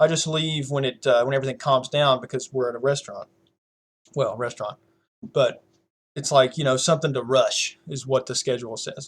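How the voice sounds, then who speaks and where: In a Southern US accent, a man speaks at a fairly high pitch. His voice is somewhat breathy, with fairly even intonation. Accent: country accent, US Southern. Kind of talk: casual chat.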